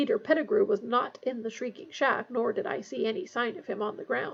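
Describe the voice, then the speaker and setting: In a growling put-on character voice, the speaker moves at a fairly quick pace with very wide pitch swings. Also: woman, high pitch for a woman. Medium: read story. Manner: sneering, snarling.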